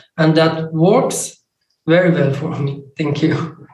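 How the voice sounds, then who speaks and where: A man with a non-native accent, high-pitched and monotone with flat intonation, at a fairly slow pace. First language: not English. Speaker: recovery meeting speaker. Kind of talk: testimony. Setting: video call.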